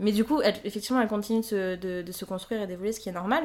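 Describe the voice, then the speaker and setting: This is a woman speaking. Her pitch shows ordinary variation. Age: 20s. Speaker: listener and amateur writer. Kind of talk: casual interview. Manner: hesitant, many fillers.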